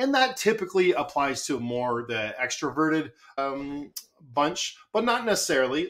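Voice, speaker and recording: The speaker is a man with a Canadian accent and a bright, sharp tone. His pitch varies in an ordinary way. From Canada. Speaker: marketing consultant. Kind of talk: podcast interview. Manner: loud; animated.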